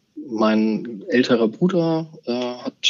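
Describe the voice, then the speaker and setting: A man of medium pitch speaks with lively intonation. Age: 40s. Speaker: bank executive. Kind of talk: interview.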